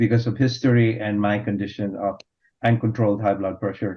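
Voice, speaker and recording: A man speaks at medium pitch in a somewhat breathy voice. His intonation is monotone and flat. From Philippines. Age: 60s. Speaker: physician. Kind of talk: panel discussion. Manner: halting.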